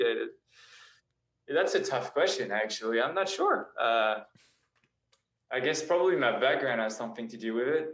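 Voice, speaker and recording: A man with a medium-pitched voice speaks at a moderate pace with lively intonation. Long, frequent pauses break up his speech, and audible room echo surrounds it. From France, moved to Australia at 12. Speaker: indie pop singer-songwriter and model. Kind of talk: casual interview chat. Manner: hesitant, many fillers.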